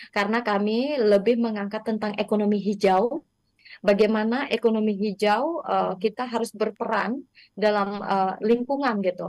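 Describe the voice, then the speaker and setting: An ordinary speaking voice, with fairly even intonation at a moderate pace, comes through in a dry sound with no echo over a quiet background. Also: woman, fairly high pitch for a woman. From Indonesia, West Kalimantan (Dayak). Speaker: textile business founder; guest. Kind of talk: interview. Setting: remote connection. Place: home room. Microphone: video call.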